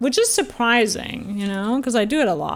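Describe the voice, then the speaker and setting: Over music in the background, a woman speaks at a moderate pace in a fairly high voice with lively intonation. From Austria. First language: German. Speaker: video game streamer. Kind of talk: casual live-stream chat. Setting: live stream.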